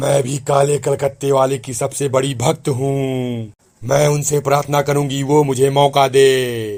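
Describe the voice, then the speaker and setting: A man speaks in a cartoonish character voice at a medium pitch. His delivery is fairly slow and monotone, with flat intonation. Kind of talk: spooky comic cartoon voice. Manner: taunting.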